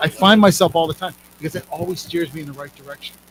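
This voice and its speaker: Very fast, fairly high-pitched male speech amid noticeable background noise. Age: 60s. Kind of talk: casual chat.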